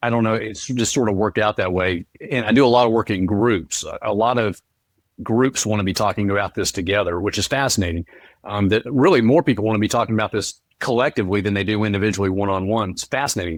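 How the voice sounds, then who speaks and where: In a very clean recording with a silent background and a dry, close sound without echo, a man with a fairly low pitch talks at a very fast pace. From North Carolina, US South. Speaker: author and speaker. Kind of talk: interview.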